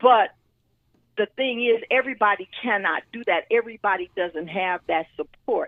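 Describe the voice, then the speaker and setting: Speaking at a moderate pace with an American accent, a woman sounds animated, her fairly high pitch showing ordinary variation. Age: 60s. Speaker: talk show panelist. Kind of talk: casual talk show discussion.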